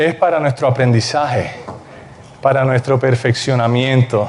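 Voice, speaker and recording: The background noise here is noticeable. Through it, a man talks at a fairly slow pace. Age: young. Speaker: preacher. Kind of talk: sermon.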